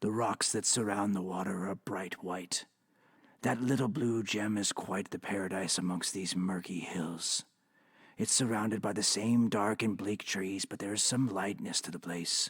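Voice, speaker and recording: A man puts on a character voice at a fairly low pitch. His intonation is fairly even and his pace moderate. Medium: audio drama. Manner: confessional, world-weary.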